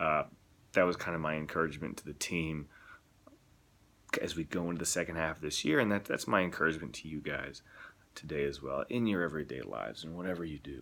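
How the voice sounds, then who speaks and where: A soft-spoken man with a very deep, low pitch, a bright, sharp tone and vocal fry, ordinary pitch variation, a very fast pace broken by long, frequent pauses. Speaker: missionary. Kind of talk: video blog. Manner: halting.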